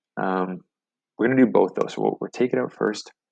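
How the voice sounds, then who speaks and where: Lively intonation and vocal fry mark a man's fairly low-pitched voice, delivered at a fairly quick pace. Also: dry, close sound with no echo. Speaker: software tutorial host. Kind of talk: tutorial.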